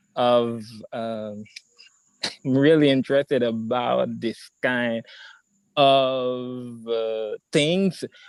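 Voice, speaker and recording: With fairly even intonation, a man speaks in a dry, close sound that has no echo. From Haiti. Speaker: artist, theater maker and singer. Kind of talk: prepared talk at online meetup. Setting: video call. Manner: halting.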